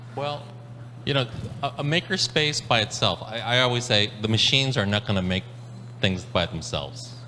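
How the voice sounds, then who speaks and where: A man's medium-pitched voice at a moderate pace, with ordinary pitch variation, long, frequent pauses and noticeable background noise. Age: 60s. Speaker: maker community organizer. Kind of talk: panel discussion. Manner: halting, many repetitions.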